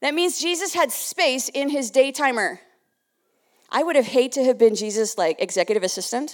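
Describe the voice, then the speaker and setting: High-pitched and fairly quick, a woman with a Canadian accent makes very wide pitch swings on a very clean recording with a silent background. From Canada (Winnipeg). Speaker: ministry leader and speaker. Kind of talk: sermon. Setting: church.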